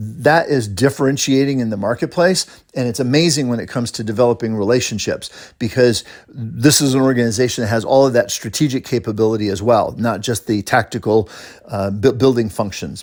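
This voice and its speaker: On a very clean recording with a silent background, a man of medium pitch talks at a fairly quick pace. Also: ordinary pitch variation. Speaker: recruiter. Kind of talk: recorded job description briefing. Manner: fast; casual.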